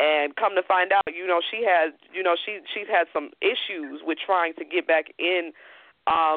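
A woman speaks in a normal speaking voice at a moderate pace, her medium pitch moving with ordinary variation. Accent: American. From Chicago. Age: 20s. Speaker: podcast host. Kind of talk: interview. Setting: phone call.

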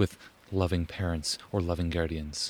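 A man talks in a very deep, low voice. It sounds somewhat breathy. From Ontario (Huntsville). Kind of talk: interview. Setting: outdoors.

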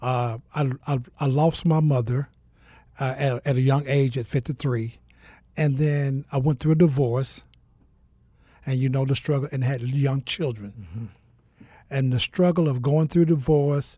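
Fairly slowly and with long, frequent pauses, a man with an American accent speaks at a fairly high pitch, somewhat breathy and dark and mellow in tone. His intonation is fairly even on a very clean recording with a silent background. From US South (Mississippi). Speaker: author and speaker. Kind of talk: interview testimony.

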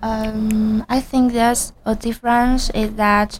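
Her pitch fairly high, a woman with a Chinese accent speaks in a monotone, flat intonation. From China. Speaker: international student. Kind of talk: casual radio interview. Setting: radio studio. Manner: halting, hesitant.

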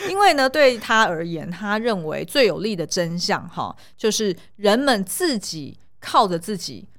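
At a fairly slow pace, a woman with an unremarkable speaking voice of medium pitch speaks with lively intonation. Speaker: podcast co-host, film commentator. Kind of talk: casual chat; sales pitch.

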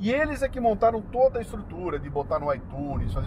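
A man speaks. There is noticeable background noise. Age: 60s. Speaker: radio host and podcaster. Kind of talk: casual chat. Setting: in a car.

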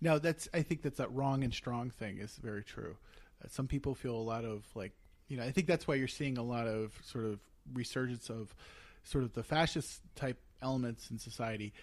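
A man with an American accent speaks at a moderate pace in an ordinary speaking voice, his medium pitch moving with ordinary variation. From Eastern Pennsylvania, US. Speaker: podcast co-host and producer. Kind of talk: casual chat. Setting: living room.

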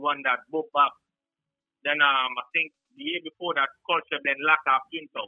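Music plays behind a man whose fairly high voice stays flat and monotone. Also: fairly quick pace. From Guyana. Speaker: sound system selector. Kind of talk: casual interview. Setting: phone call.

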